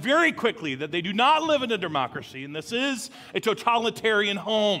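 A man's voice has a bright, sharp tone. He speaks in a raised, projected voice. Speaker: lead pastor. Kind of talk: sermon. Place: church.

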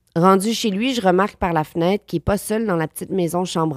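Dry, close sound with no echo, in a Quebec accent. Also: woman. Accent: Québécois French. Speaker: actress. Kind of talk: casual chat.

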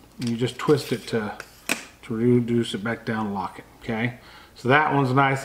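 A man speaks at a moderate pace with fairly even intonation over noticeable background noise. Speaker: outdoor video creator. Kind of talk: casual gear show-and-tell. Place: home room.

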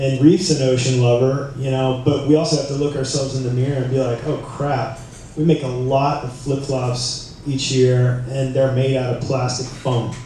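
A man's monotone, flat delivery amid strong room echo and light background noise. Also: moderate pace, hardly any pauses. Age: 40s. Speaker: surf brand executive. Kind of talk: conference panel talk. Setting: stage with audience. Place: hall. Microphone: camera far.

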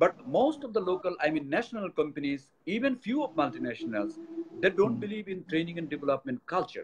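Noticeable background noise sits behind a man with a Bengali accent talking at a fairly quick pace. His pitch is high, with very wide swings. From Bangladesh. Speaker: company executive; guest. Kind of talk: interview. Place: office. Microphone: speakerphone, speaking louder; video call.

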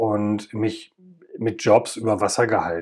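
This is a man speaking. He goes at a very slow pace. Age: 50s. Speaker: podcast host, former paramedic. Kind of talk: personal monologue.

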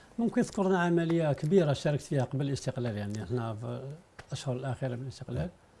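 Here a man talks at a very fast pace with lively intonation. His pitch is medium. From Algeria. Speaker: TV history programme host. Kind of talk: interview; interview question. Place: studio. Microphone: lapel.

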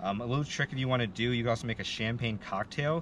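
The sound is dry with no echo and carries light background noise as a man speaks with ordinary pitch variation. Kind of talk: casual drink-pairing explanation. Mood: friendly, relaxed. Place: open country.

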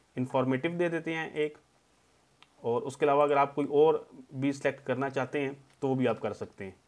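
With long, frequent pauses, a man speaks at a fairly high pitch with fairly even intonation. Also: moderate pace. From Pakistan. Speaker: tech YouTuber. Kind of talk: tutorial. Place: home room.

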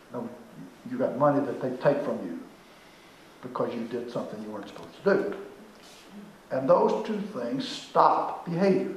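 A man with a fairly high pitch speaks at a moderate pace, with long, frequent pauses, big swings in loudness and very wide pitch swings, over light background noise and audible room echo. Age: 80s+. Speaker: management consultant. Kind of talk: lecture. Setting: stage with audience. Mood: playful, joking. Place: hall. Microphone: camera far.

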